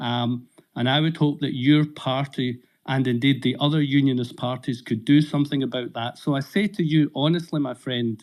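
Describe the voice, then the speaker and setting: A man speaks with a Scottish accent at a fairly high pitch. His intonation stays fairly even. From Scotland. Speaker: audience member on political live audio space. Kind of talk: question in live audio discussion. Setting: online audio space.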